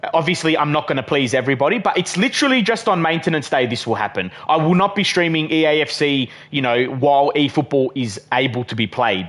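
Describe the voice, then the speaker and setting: A man with an Australian accent talks very fast with hardly any pauses, his fairly high pitch and lively intonation coming through over noticeable background noise. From Western Australia. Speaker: gaming live streamer. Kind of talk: live stream chat and gameplay commentary. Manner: casual, filler-heavy.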